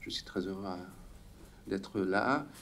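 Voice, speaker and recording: At a fairly slow pace, a man with a non-native accent speaks amid audible room echo. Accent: foreign accent in French. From Hungary. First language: Hungarian (speaking French). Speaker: sociologist, conference speaker. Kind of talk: conference talk. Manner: halting, many hesitations.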